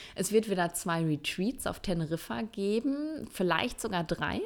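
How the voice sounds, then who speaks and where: The recording is very clean against a silent background. A woman talks at a moderate pace with lively intonation. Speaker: Ayurveda coach and podcast host, former physician. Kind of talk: solo podcast monologue. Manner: casual, many filler sounds.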